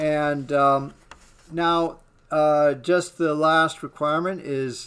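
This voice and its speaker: A man speaks at a fairly high pitch. His intonation stays fairly even. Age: 60s. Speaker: web developer and online course student. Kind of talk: software demo walkthrough. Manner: slow; halting, many fillers.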